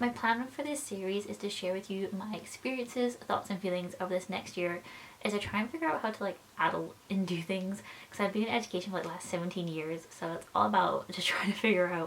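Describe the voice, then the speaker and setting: A woman talks at a very fast pace amid noticeable background noise. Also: medium pitch for a woman, ordinary pitch variation. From Scotland. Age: 20s. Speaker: film school graduate and YouTuber. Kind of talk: casual talk to camera (vlog). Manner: chatty, rambling, slightly unsure.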